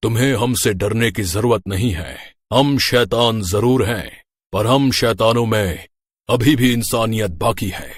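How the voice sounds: A man uses a cartoonish character voice at a medium pitch. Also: fairly slow pace.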